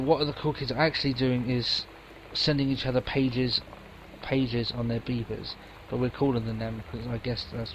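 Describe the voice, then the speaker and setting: A quiet man with a medium pitch speaks at a fairly quick pace with fairly even intonation. Noticeable background noise can be heard. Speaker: gamer doing let's play commentary. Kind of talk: game commentary with reading aloud.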